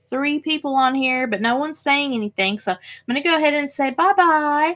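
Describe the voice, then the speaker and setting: A woman with a Tennessee accent and lively intonation, in a very clean recording with a silent background. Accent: Southern US (Tennessee). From Tennessee, US South. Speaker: crafting YouTuber. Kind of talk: casual live stream chat. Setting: live stream. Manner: filler words, um and uh.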